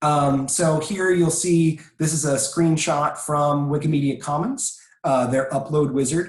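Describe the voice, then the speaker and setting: This man talks at a very slow pace, in a fairly high pitch and a somewhat breathy voice. Audible room echo surrounds him. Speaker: presenter on copyright and licensing. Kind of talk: webinar presentation. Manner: frequent filler words.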